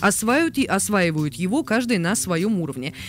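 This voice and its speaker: Dry sound with no echo and light background noise. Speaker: radio host. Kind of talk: radio talk show. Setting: studio. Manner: halting, many filler sounds. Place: studio. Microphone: studio mic.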